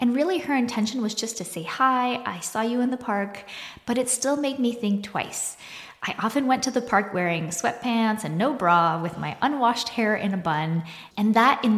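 A woman speaks in an unremarkable speaking voice with a fairly high pitch. Her intonation is lively and her pace moderate. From Quebec, Canada (small town). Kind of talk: solo podcast monologue.

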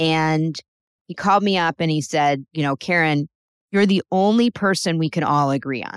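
In an unremarkable speaking voice, a woman with an American accent talks at a moderate pace and a fairly low pitch, with ordinary pitch variation, on a very clean recording with a silent background and a dry, close sound with no echo. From New Jersey, Bergen County. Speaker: trial lawyer. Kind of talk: interview.

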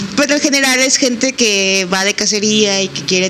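Noticeable background noise accompanies speech at a moderate pace whose pitch varies in an ordinary way. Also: woman. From Mexico, San Luis Potosí. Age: 20s. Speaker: veterinarian and photographer. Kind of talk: casual interview. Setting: in-person recording.

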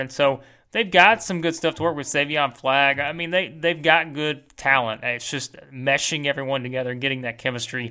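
A man's fairly high, bright, sharp voice at a fairly quick pace, on a very clean recording with a silent background. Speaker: sports podcast host. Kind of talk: solo podcast monologue answering mailbag questions. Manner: animated.

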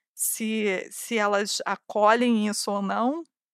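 The recording is very clean with a silent background and a dry, close sound without echo. A woman speaks at a fairly high pitch with fairly even intonation. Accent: Carioca. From Brazil, Rio de Janeiro. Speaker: podcast host, newsletter writer. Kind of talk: casual monologue answering listener questions.

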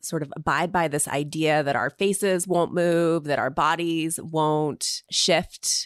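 In a very clean recording with a silent background, a woman speaks at a very deep, low pitch with fairly even intonation. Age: 40s. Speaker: podcaster and writer. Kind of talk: casual interview chat.

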